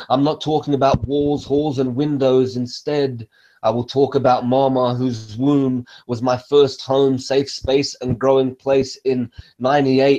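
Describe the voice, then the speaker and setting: With an Australian accent, the voice has a dark, mellow tone, monotone, flat intonation and a fairly slow pace. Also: man. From Western Sydney, Australia (Egyptian-born). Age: 20s. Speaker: poet. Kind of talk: spoken word poetry performance; casual introduction. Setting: live stream from home.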